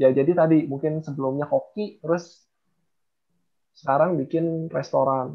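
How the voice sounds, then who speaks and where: A man with a fairly high pitch speaks at a moderate pace. His intonation stays fairly even against a quiet background. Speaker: software company CEO; presenter. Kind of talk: book review presentation. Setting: video call. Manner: calm and even, not explosive. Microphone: unstable internet connection; video call.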